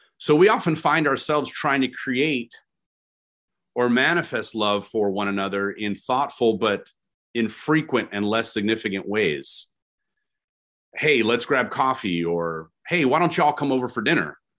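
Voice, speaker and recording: In a normal speaking voice with an American accent, a man at medium pitch speaks at a moderate pace with lively intonation against a quiet background. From California. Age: 40s. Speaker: pastor. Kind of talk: sermon. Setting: video call.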